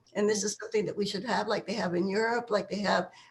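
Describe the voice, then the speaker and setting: The woman speaking has a somewhat breathy voice. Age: 80s+. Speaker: activist. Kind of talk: interview. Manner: halting.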